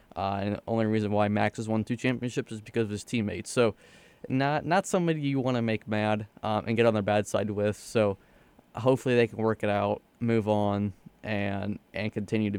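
A man talks at a fairly quick pace in an unremarkable speaking voice, fairly low in pitch. His intonation is fairly even, and the sound is dry and close with no echo. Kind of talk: casual sports radio chat.

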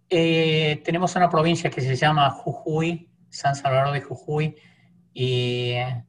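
Somewhat breathy and in an Argentine accent, the voice keeps a fairly even intonation. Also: man. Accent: Argentine Spanish (voseo). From Argentina. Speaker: church interpreter. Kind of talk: casual interview.

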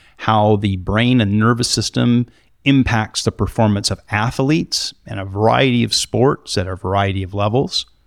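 An unremarkable speaking voice at a moderate pace with ordinary pitch variation, in a very clean, dry, close recording with no echo and a silent background. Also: man. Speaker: podcast host. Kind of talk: interview. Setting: studio.

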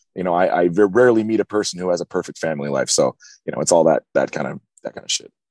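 Talking at a very fast pace with an American accent, a man with a very deep, low voice shows ordinary pitch variation in a dry, close sound with no echo. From US West Coast. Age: 30s. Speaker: hardcore band singer. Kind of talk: interview. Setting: in a van.

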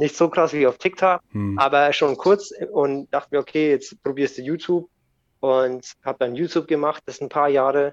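Against a quiet background, a man with an ordinary speaking voice talks at a moderate pace, his fairly high pitch showing ordinary variation in dry, close sound with no echo. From Germany, bilingual with American parent. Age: 30s. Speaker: skateboard YouTuber and podcaster. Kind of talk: casual chat.

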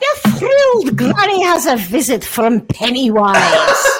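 This is a put-on character voice delivered in a Scottish accent. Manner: warm, fond.

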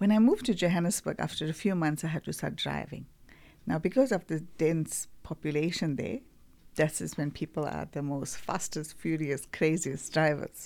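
On a very clean recording with a silent background, a woman talks at a moderate pace in a very deep, low pitch. Her tone is dark and mellow, and her intonation is lively. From South Africa, Durban. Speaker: product manager. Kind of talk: casual chat.

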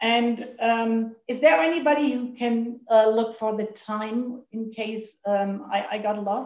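A woman speaks very slowly in a German accent. Her pitch is fairly high, and her intonation is fairly even. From Germany. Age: 50s. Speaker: recovering overeater sharing at meeting. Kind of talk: recovery meeting share. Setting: video call. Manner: halting.

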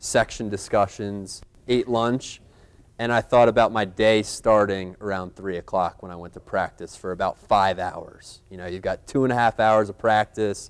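A man with an unremarkable speaking voice and fairly low pitch talks at a moderate pace with fairly even intonation on a very clean recording with a silent background. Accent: American. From US, Philadelphia area. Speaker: podcast host and high school English teacher. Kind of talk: live panel talk to students. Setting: stage with live student audience.

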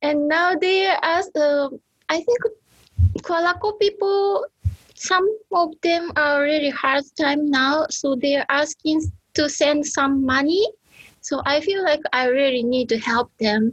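A woman's high voice at a very slow pace, with very even loudness and lively intonation. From Japan, Okinawa (Iriomote Island). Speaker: anthropologist. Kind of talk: casual interview conversation. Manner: halting.

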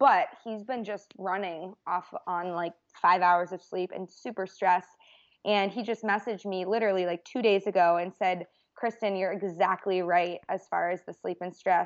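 A plain, everyday voice with an American accent, fairly even intonation, a moderate pace, and a quiet background. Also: woman, medium pitch for a woman. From Boston, US. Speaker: registered dietitian. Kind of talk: casual interview.

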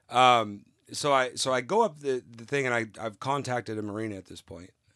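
In an American accent, a man with a normal speaking voice and medium pitch talks at a fairly quick pace. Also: very clean recording, silent background. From California. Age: 40s. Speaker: novice liveaboard sailor. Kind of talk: casual interview, storytelling. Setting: aboard a sailboat.

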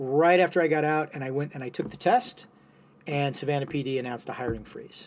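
A man's fairly high voice, a plain, everyday voice, with ordinary pitch variation and big swings in loudness. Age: 50s. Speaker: physician and military veteran. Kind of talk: casual chat.

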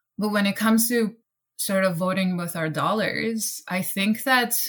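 A woman speaks with a Persian accent, somewhat breathy. Her pace is fairly slow and her pitch variation ordinary. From Iran. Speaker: actor and theater director. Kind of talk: casual panel discussion.

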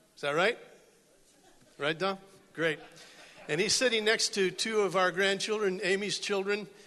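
A man's raised, projected voice, high-pitched with a bright, sharp tone, fairly even intonation and long, frequent pauses. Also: moderate pace, very even loudness. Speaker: church member. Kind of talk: church announcement. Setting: church.

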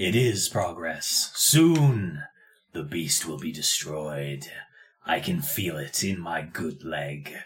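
A man puts on a character voice with a very deep, low pitch. He goes at a very slow pace with lively intonation. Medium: actual play. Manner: formal, measured and stiff.

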